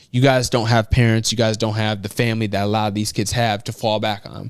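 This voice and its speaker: In a very clean recording with a silent background, a man with a Chicago accent speaks at medium pitch. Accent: Chicago, American. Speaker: motivational speaker. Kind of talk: interview answer.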